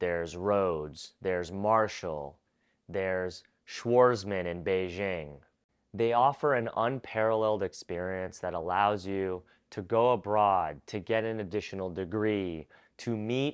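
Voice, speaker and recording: In an ordinary speaking voice, a man talks at a fairly slow pace with fairly low pitch and ordinary pitch variation over a quiet background. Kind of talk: educational advice talk. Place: home room. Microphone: lapel.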